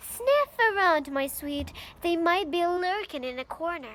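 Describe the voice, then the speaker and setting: A woman in a put-on character voice speaks at an extremely high pitch and a fairly slow pace, with very wide pitch swings. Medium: read story. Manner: low, sly muttering.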